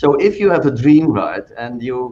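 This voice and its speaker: A man speaks with a Dutch accent. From Netherlands. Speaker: physician and pharma executive. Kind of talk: panel discussion.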